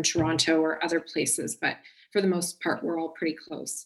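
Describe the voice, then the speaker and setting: A woman with an ordinary speaking voice, fairly low in pitch, with a Canadian accent, at a moderate pace. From Canada, small-town Ontario. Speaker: media strategist, agency founder. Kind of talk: podcast interview.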